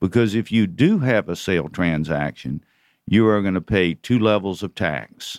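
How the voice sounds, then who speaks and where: A man with an American accent has a plain, everyday voice at a fairly low pitch. His intonation is lively. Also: very clean recording, silent background. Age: 60s. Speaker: investment banker. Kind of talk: radio interview. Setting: studio.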